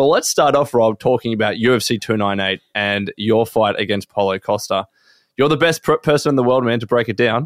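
The sound is dry and close, with no echo. A man speaks fairly quickly at a medium pitch. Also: ordinary pitch variation. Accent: Australian. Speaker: podcast host. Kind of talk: casual chat.

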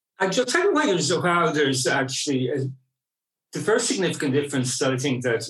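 A man speaks with an Irish accent. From Ireland (Clonmel, County Tipperary, Munster). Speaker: queer rights activist. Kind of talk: interview. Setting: on location recording.

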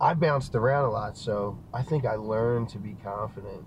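A man speaks with a Philadelphia accent, his pitch fairly low and its variation ordinary. Room echo is audible. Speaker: guest. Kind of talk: casual chat. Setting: video call.

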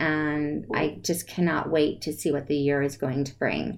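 Speaking at a moderate pace, a woman talks in an American accent. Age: 50s. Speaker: podcast host. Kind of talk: interview. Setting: live video broadcast.

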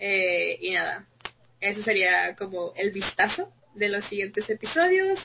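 At a fairly slow pace, a woman speaks in a normal speaking voice with a fairly high pitch. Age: young. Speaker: podcast co-host, fashion design student. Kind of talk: casual chat.

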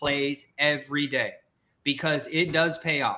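In a raised, projected voice with an American accent, a man sounds energetic, his tone bright and sharp on a very clean recording with a silent background. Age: 30s. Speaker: career coach podcast host. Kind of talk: live-streamed podcast chat.

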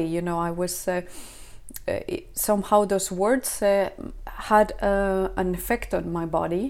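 A woman with a Spanish accent, a medium pitch, ordinary pitch variation, and a very slow pace. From Spain. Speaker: mother sharing birth story, former ecologist. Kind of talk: interview testimony. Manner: halting.

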